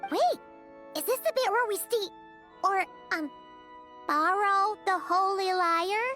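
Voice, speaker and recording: A put-on character voice at an extremely high pitch moves at a fairly slow pace with long, frequent pauses, over clear music in the background. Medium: video game. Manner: excitable.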